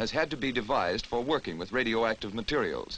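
This is a man speaking. His voice has vocal fry. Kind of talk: newsreel narration.

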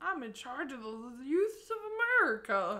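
A woman puts on a character voice, pitched high and swinging very widely in pitch at a moderate pace.

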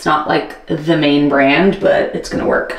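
Fairly slow speech comes through with light background noise and audible room echo. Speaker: home vlogger. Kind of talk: casual vlog chat. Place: bathroom. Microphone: phone near.

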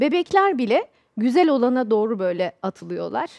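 With a high pitch and very wide pitch swings, a woman speaks at a moderate pace. The background is quiet. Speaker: corporate trainer and author. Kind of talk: TV panel discussion. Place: studio. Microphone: headset.

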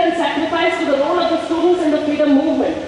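A voice with an Indian accent comes through strong room echo and light background noise. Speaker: rally speaker reading resolution. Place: stage. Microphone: podium.

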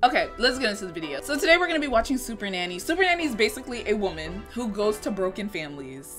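A woman talks at a very fast pace with hardly any pauses and a fairly high pitch that swings very widely. Clear music plays in the background. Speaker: YouTuber. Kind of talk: casual reaction commentary to camera. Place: home room.

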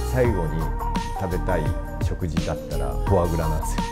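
A man at a fairly quick pace over loud music in the background. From Fukuoka, Japan. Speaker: bartender. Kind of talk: interview answer. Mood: calm, warm, smiling. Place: bar.

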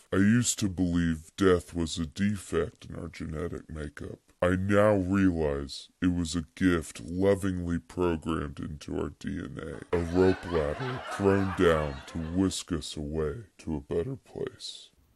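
A man's put-on character voice, very deep and low, with hardly any pauses. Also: moderate pace. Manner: bleak, somber monologue.

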